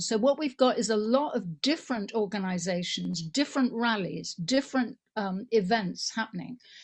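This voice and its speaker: A woman's somewhat breathy, fairly high voice with an English accent, lively intonation and a moderate pace. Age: 70s. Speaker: political activist. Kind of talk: conference motion speech.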